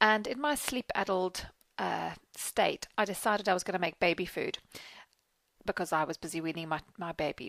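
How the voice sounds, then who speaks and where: In a dry, close sound with no echo, a speaker with a South African accent uses lively intonation. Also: woman, medium pitch for a woman, moderate pace. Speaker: PR business owner. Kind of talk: personal story monologue. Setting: Facebook video.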